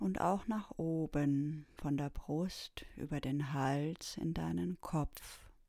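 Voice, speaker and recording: Speaking at a very slow pace with hardly any pauses, a woman has a very deep, low pitch, a dark, mellow, soothing tone and lively intonation. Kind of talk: guided meditation, calm spoken instructions. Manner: slow, soft-spoken, soothing, with long pauses.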